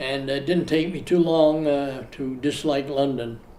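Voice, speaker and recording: Audible room echo surrounds a man speaking at a very slow pace with fairly even intonation. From Australia (Sydney). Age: 80s+. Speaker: retiree telling his life story. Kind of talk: interview storytelling. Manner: halting, many fillers.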